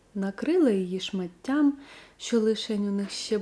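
A reading voice that sounds natural

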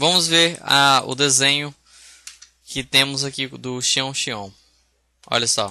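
Using a bright, sharp tone, a man of medium pitch talks very slowly with ordinary pitch variation and long, frequent pauses. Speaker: software instructor. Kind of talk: tutorial. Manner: casual, hesitant with fillers.

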